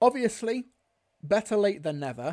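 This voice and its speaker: Against a quiet background, a man talks at a fairly quick pace in a dark, mellow tone. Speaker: livestream host. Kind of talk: commentary. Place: home room.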